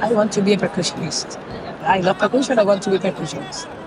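A woman speaks in a Spanish accent at medium pitch. Noticeable background noise runs behind her. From Cuba. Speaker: percussionist and singer. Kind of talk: interview. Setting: street fair. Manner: halting non-native English.

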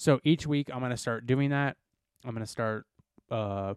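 In a plain, everyday voice, a man speaks at a medium pitch with ordinary pitch variation, recorded dry and close with no echo on a very clean recording with a silent background. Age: 20s. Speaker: podcast co-host. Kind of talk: casual chat.

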